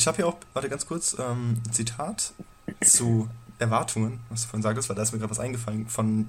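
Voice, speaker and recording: A man talks quietly at a fairly quick pace in a medium pitch. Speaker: podcast co-host. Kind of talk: casual chat. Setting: home recording at night.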